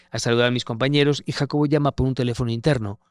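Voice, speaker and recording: Against a silent background in a very clean recording, a man speaks very fast at medium pitch with fairly even intonation, the sound dry and close with no echo. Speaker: war correspondent. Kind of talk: interview conversation. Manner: halting.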